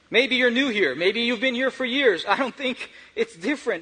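The speech runs at a fairly quick pace, and noticeable background noise is present. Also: man. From Brazil. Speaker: church lay preacher. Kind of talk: sermon. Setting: church.

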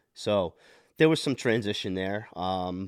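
In a very clean recording with a silent background and a dry, close sound with no echo, a man with an American accent uses a normal speaking voice, fairly low in pitch, at a moderate pace. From New Jersey, Monmouth County. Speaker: podcast guest, parent and hockey player. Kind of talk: casual interview chat.

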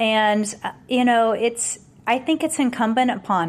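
In a normal speaking voice, a woman with a fairly high pitch talks at a fairly slow pace on a very clean recording with a silent background. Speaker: company founder and CEO. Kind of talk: interview conversation.

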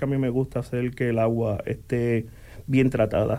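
A man speaks fairly slowly in a dark, mellow tone. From Puerto Rico, Coamo. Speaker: utilities operations manager. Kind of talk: radio interview. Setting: radio studio.

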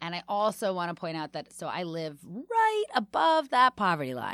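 A woman with an American accent speaks in a plain, everyday voice, fairly low in pitch, at a moderate pace. The recording is very clean, with a silent background. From Washington, D.C. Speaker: comedian and podcast host. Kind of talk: casual interview chat.

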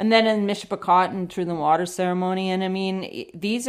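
A woman with a Canadian accent has an ordinary speaking voice at medium pitch with fairly even intonation. The recording is very clean, with a silent background. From western Canada. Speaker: filmmaker and explorer. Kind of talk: interview.

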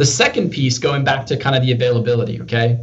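Noticeable background noise sits behind a man speaking at a medium pitch with an American accent. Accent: little British accent left, sounds American. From England, Peterborough. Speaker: business development professional in industrial tech. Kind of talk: interview conversation.

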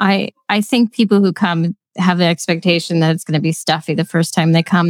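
A woman with a Pennsylvania accent, fairly low pitch, fairly even intonation and a fairly quick pace with hardly any pauses, in a dry, close sound with no echo. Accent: Pennsylvania American. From Lancaster County, Pennsylvania. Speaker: nonprofit executive director. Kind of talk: casual interview.

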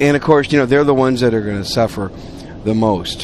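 Background noise is noticeable throughout. Over it, a man talks at a medium pitch. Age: 50s. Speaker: podcast host. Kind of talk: casual monologue. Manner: conversational.

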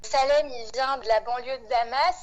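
Speaking at a very slow pace, a woman has a high voice. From Réunion and mainland France. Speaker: farming collective member. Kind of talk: interview.

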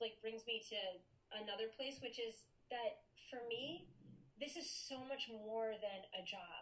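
A high-pitched woman at a fairly slow pace, amid noticeable background noise. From Maine. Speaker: wedding officiant. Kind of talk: casual interview.

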